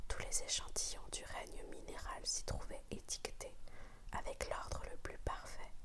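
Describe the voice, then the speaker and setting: Amid noticeable background noise, a soft-spoken woman whispers at a fairly slow pace. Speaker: ASMR whispered-reading channel host. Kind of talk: whispered audiobook reading of a classic novel. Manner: whispered, soft.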